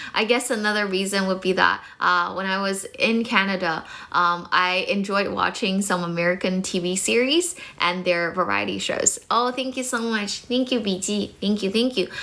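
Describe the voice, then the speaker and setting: A woman talks at a moderate pace with hardly any pauses and ordinary pitch variation. Noticeable background noise is present. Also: medium pitch for a woman. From China, studied in Toronto from age 16. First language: Mandarin Chinese. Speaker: English teacher. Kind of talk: live stream chat. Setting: live stream. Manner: hesitant with many fillers.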